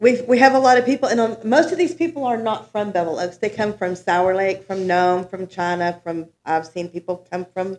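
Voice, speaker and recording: Moderate pace and lively intonation from a woman with a Texan accent. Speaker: resident speaking at town hall. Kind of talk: public comment at town meeting. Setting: town hall meeting room. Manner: loud.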